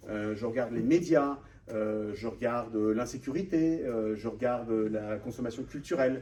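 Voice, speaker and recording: Audible room echo hangs around the voice. It is a man with a dark, mellow tone. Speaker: author and data researcher, panel guest. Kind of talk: conference talk with slides. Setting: room with live audience. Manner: fast; hesitant, many fillers.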